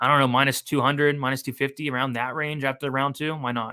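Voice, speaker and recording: A very fast, bright and sharp male voice at medium pitch, monotone and flat, on a very clean recording with a silent background. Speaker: sports betting analyst. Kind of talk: live stream commentary.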